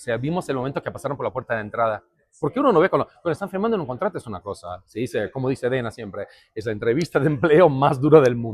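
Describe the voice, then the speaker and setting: At a very fast pace, a man with a medium pitch speaks with lively intonation. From Brazil, Curitiba. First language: Portuguese (speaking Spanish). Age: adult. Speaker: MMA event translator and commentator. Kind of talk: interview.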